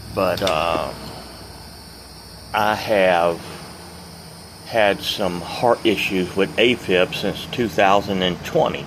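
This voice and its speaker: There is noticeable background noise as a man speaks at a very slow pace. His intonation is fairly even, broken by long, frequent pauses. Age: 60s. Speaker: retired truck driver vlogger. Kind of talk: casual vlog monologue. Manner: rambling, hesitant with fillers.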